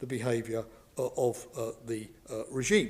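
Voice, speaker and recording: He is a man speaking with a British accent. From Britain. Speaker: professor, former security official. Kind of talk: lecture. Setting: lecture hall with live and online audience. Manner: hesitant, many fillers.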